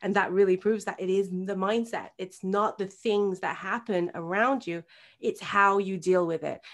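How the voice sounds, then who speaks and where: At a moderate pace, a woman with an English accent speaks at medium pitch with fairly even intonation. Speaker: birth coach and hypnobirthing practitioner. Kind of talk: interview. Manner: halting, many repetitions and fillers; talkative.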